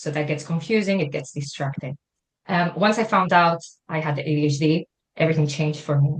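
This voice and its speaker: A woman with a very deep, low pitch sounds somewhat breathy, speaking at a fairly quick pace with ordinary pitch variation. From Spain. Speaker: wellbeing consultant. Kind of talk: interview.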